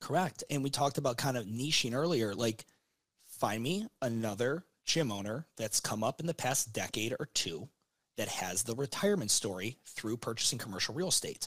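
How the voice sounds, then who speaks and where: The sound is dry and close, with no echo. An unremarkable speaking voice carries lively intonation at a moderate pace. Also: man, medium pitch for a man. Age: 30s. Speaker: gym business consultant. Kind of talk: casual interview.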